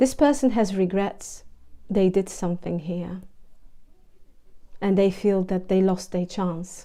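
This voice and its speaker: A woman with a non-native accent speaks at a medium pitch in a dark, mellow tone. Her pace is fairly slow, with ordinary pitch variation and long, frequent pauses. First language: not English. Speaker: tarot reader. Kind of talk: tarot reading monologue. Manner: halting, repeats words.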